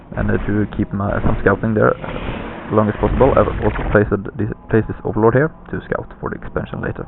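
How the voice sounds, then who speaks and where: A man with a non-native accent speaks at a fairly quick pace over noticeable background noise. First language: not English. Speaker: gaming commentator. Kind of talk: game commentary. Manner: halting, many fillers. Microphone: poor lousy microphone.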